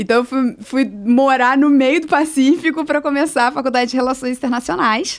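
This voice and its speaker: On a very clean recording with a silent background, a woman with a Rio de Janeiro accent speaks at a moderate pace in a high pitch. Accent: Rio de Janeiro (carioca). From Brazil, Rio de Janeiro. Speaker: social entrepreneur. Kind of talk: interview.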